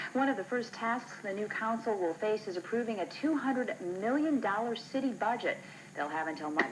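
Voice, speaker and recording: A woman talks at a fairly quick pace with a fairly high pitch. Her intonation is lively, and there is noticeable background noise. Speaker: local TV news anchor. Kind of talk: TV news anchor read.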